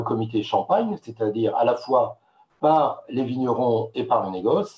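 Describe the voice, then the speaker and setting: A man's somewhat breathy voice with a dark, mellow tone and lively intonation. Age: 60s. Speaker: wine marketing expert. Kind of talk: webinar presentation. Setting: online webinar with slides. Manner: hesitant, many filler sounds.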